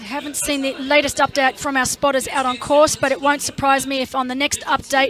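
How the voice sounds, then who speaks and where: Over noticeable background noise, a woman talks at a fairly quick pace in an Australian accent. Her pitch is high. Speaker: triathlon commentator. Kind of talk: live commentary. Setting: studio. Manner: animated.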